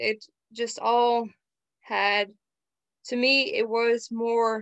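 A woman with a Dutch accent is recorded with a dry, close sound and no echo. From Netherlands. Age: young. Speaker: psychomotor therapy student. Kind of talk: casual chat.

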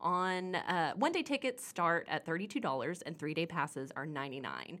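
Speaking at a fairly quick pace, a woman uses a fairly low pitch with very wide pitch swings. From Oklahoma. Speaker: magazine editor. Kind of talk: scripted event segment.

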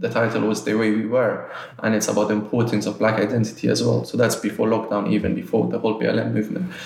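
Noticeable background noise runs under this man's voice. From Nigeria, Lagos. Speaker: art gallery director. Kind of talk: interview conversation.

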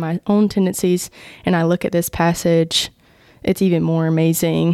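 A woman in a Southern US accent, monotone and flat in intonation. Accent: Southern American. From US South, Georgia (Vidalia). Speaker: campus ministry worker. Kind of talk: casual chat.

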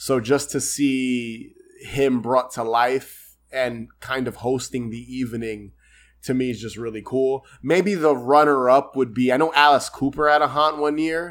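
An unremarkable speaking voice from a man with an American accent, medium in pitch and fairly slow, in a very clean recording with a silent background. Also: fairly even intonation. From New York. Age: 30s. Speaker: podcast host. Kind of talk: casual chat.

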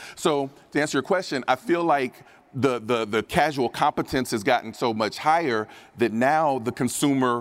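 A man speaks at a moderate pace with a medium pitch, ordinary pitch variation, a plain, everyday voice and an American accent. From US Midwest (Dayton, Ohio). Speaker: sports betting writer and analyst. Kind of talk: conference panel discussion. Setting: stage with audience.

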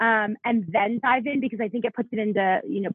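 Fairly high pitch from a woman with an American accent, an unremarkable speaking voice with ordinary pitch variation. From South Florida. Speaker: Bible teacher and author. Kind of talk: podcast interview.

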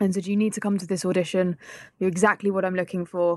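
A woman's medium-pitched voice with a London accent, the sound dry and close with no echo. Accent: southern English (London). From England. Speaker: actor and filmmaker. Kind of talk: interview.

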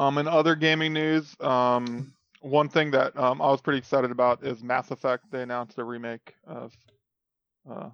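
This man's medium-pitched voice moves at a moderate pace with fairly even intonation but big swings in loudness. The sound is dry and close, with no echo. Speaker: gaming podcast co-host. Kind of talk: casual chat. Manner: monotone.

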